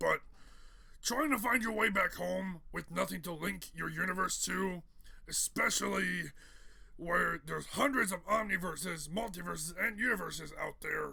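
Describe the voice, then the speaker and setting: Putting on a raspy character voice, a man talks at a moderate pace in a high pitch, with light background noise behind him. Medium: solo performance. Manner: casual, conversational.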